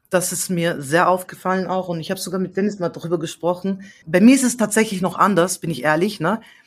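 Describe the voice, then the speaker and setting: Somewhat breathy and medium in pitch, a woman speaks at a very fast pace with ordinary pitch variation. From Austria. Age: 30s. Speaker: singer-songwriter. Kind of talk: casual interview chat. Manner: animated.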